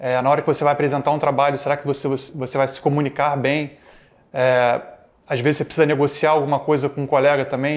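A monotone, flat intonation runs through speech delivered at a very fast pace. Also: man. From Rio de Janeiro, Brazil. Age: 30s. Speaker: tech executive and alumnus. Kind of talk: interview testimony. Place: studio. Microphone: lapel.

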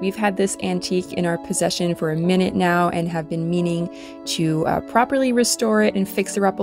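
Over background music, a woman talks at a fairly quick pace with a fairly low pitch and very wide pitch swings. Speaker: furniture restorer. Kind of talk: casual voice-over narration of a furniture restoration.

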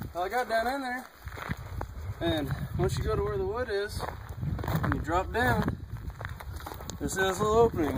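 Loud background noise behind a man's fairly quick delivery. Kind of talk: casual chat. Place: open country.

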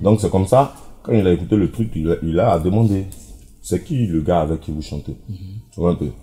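The man's voice is very deep and low, somewhat breathy, with ordinary pitch variation. He keeps a moderate pace. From Ivory Coast, Daloa region; Ivory Coast. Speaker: zouglou singer; interviewee. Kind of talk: interview. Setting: air-conditioned bar. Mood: relaxed, explanatory.

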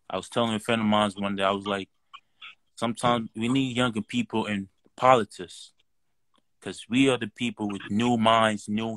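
A man speaks at a moderate pace in a fairly low pitch, his monotone delivery flat, the sound dry with no echo over a quiet background. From Nigeria. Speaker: caller. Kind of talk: casual chat. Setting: video call. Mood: earnest, motivated. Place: home room. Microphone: video call.

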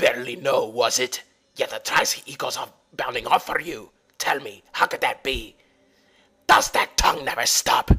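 A man uses a put-on character voice that sounds raspy. He speaks at a moderate pace. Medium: dub. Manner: gruff, snarling.

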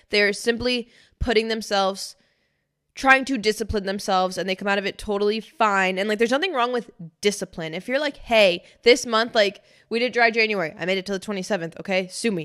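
A woman talks at a medium pitch and a fairly quick pace. The background is quiet. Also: ordinary pitch variation. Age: 20s. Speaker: podcast co-host. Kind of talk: casual chat. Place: studio. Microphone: studio mic.

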